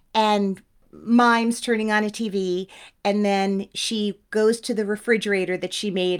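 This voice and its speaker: Speaking with an American accent, a woman uses a plain, everyday voice at medium pitch with fairly even intonation, recorded very cleanly against a silent background. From New Jersey (Teaneck). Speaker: actress and podcast host. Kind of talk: interview conversation.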